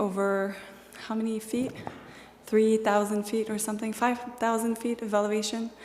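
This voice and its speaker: A woman speaks at a medium pitch with a French accent, with noticeable background noise behind her. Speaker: hiker. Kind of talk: slideshow presentation.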